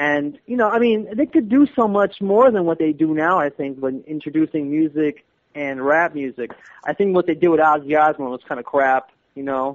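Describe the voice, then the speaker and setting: Speaking at a moderate pace with lively intonation, a man has fairly high pitch and an ordinary speaking voice. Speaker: guest co-host. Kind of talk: casual chat.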